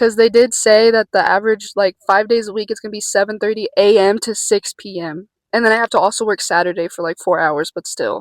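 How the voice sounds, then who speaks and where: Fairly quick and with hardly any pauses, a woman talks in a fairly high pitch with fairly even intonation. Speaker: vlogger. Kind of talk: casual vlog. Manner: halting.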